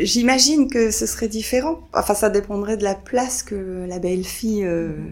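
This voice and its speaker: A woman speaks at a fairly slow pace with a fairly high pitch and ordinary pitch variation. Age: 50s. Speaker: grandmother. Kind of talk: testimony. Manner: halting.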